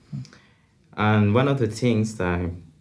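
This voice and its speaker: A man speaks with a Colombian accent. His pitch varies in an ordinary way. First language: Spanish. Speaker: social work student. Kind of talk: casual chat. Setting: studio. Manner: halting.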